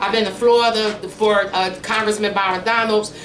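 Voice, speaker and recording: A woman's fairly high voice holds a monotone, flat intonation amid noticeable background noise and audible room echo. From Philadelphia. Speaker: congressional candidate and community organizer. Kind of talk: campaign speech. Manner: casual.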